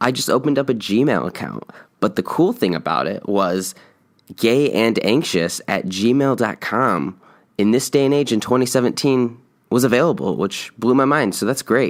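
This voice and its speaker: A man talks at a medium pitch with lively intonation and vocal fry. The recording is very clean, with a silent background. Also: moderate pace. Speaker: podcast host. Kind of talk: solo podcast monologue. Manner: many filler words.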